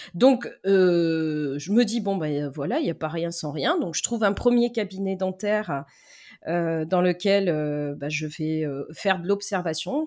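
A woman with a plain, everyday voice speaks at a fairly slow pace and a medium pitch. Her intonation is lively, and the recording is very clean with a silent background. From Lyon area, France. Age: 40s. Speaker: dental assistant. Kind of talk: casual interview.

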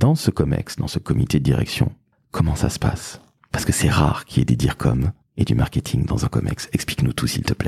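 Vocal fry in a dark, mellow tone, fairly quick, with ordinary pitch variation and a dry, close sound with no echo. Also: man, very deep, low pitch for a man. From Toulouse, southwestern France. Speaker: podcast host, agency founder. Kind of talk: interview. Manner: animated.

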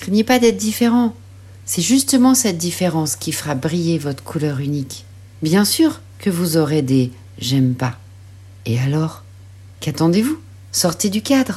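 This woman's very deep, low voice is somewhat breathy, with a dark, mellow tone and very wide pitch swings. She speaks at a fairly slow pace with long, frequent pauses. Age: 40s. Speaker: life coach and mother. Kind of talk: scripted personal narration.

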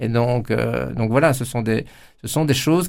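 In a very clean recording with a silent background, a man of medium pitch talks with vocal fry and ordinary pitch variation. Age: 50s. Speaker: politician. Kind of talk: interview. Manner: halting, many repetitions.

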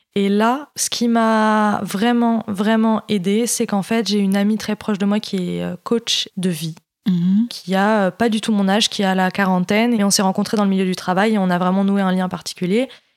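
At a moderate pace and with hardly any pauses, a medium-pitched woman speaks with very even loudness and fairly even intonation. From Paris region, France. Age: 20s. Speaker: eating disorder survivor. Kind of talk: testimony. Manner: halting.

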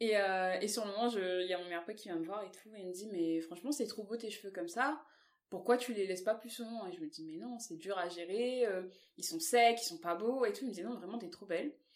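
This woman has a plain, everyday voice with ordinary pitch variation. Her loudness swings widely. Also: medium pitch for a woman. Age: 20s. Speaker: plus-size model. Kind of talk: casual interview.

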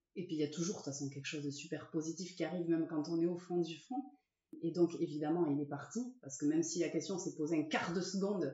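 With a normal speaking voice, a woman moves at a fairly quick pace and shows ordinary pitch variation. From French Basque Country (Saint-Jean-de-Luz, Ciboure, Sare). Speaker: rugby player's wife. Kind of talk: casual interview. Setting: at her home.

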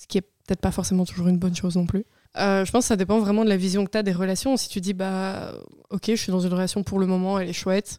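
Dry and close with no echo, this very clean recording with a silent background has a woman speaking in a medium pitch with a dark, mellow tone and monotone, flat intonation. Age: 20s. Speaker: podcast guest sharing personal experience. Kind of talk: casual chat.

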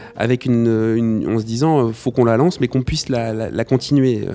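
A man talks at a moderate pace in a medium pitch. His tone is dark and mellow. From Nantes, western France. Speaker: DJ and collective co-founder. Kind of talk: casual interview chat. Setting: at his home. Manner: hesitant, many repetitions.

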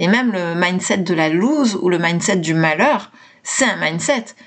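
She speaks in an unremarkable speaking voice at a medium pitch. Her intonation is lively and her pace fairly slow. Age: 40s. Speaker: mindset coach and podcaster. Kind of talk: solo podcast talk.

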